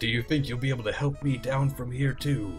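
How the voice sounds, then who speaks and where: Over clear music in the background, a man puts on a character voice at a medium pitch and a fairly quick pace. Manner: epic, heroic.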